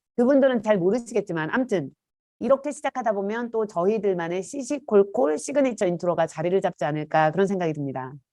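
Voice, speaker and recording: Speaking very fast over a quiet background, a woman uses a medium pitch and a dark, mellow tone, with very wide pitch swings. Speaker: professor; podcast co-host. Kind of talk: casual chat. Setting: video call.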